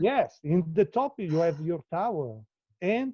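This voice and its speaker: A man's high voice with an Italian accent, lively intonation and a fairly slow pace, dry and close with no echo. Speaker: live artist. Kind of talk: casual chat. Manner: halting.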